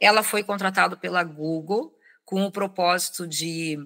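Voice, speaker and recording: A woman's voice has a bright, sharp tone. She speaks at a fairly slow pace. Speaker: HR executive and consultant. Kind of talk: interview.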